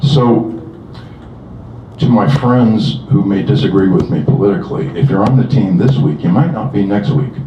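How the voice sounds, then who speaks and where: A man with an American accent speaks at a moderate pace with lively intonation. Noticeable background noise and audible room echo fill the recording. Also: medium pitch for a man. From US Midwest, Southern Illinois. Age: 60s. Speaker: retired software engineer, concerned citizen. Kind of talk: rally speech. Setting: outdoors.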